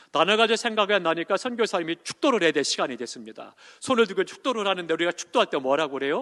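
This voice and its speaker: Very fast and high-pitched, a man's voice makes very wide pitch swings, dry and close with no echo over a quiet background. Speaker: senior pastor. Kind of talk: sermon.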